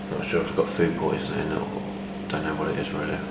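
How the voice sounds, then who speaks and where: Loud background noise fills the clip. A man talks over it at a fairly quick pace. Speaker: traveler vlogger. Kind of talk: casual vlog chat. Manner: weak, listless, ill-sounding voice. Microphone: phone near.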